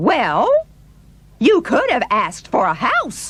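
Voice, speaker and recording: A put-on character voice, high in pitch, delivered at a fairly slow pace. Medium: audio drama. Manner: eager, insistent.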